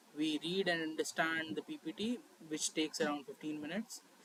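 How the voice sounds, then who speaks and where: Talking at a fairly quick pace, a man's high-pitched voice holds fairly even intonation. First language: Hindi. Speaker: student tutor. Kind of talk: tutorial. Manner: hesitant, filler-heavy.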